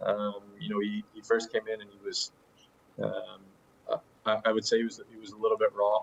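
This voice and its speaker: A man with an American accent speaks at a moderate pace with long, frequent pauses. His loudness swings widely. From USA. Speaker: professional footballer. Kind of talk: interview. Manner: halting, many fillers and repetitions.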